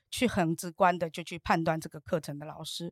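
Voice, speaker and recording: Fairly quick in pace, a woman speaks in a very clean recording with a silent background and a dry, close sound with no echo. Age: 50s. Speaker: entrepreneur and course student. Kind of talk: interview. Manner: animated.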